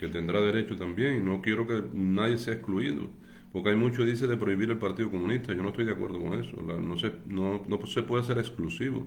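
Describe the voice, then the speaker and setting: Audible room echo surrounds a man speaking at a fairly quick pace, fairly low in pitch with ordinary pitch variation. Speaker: political activist. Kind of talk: livestream monologue. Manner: halting.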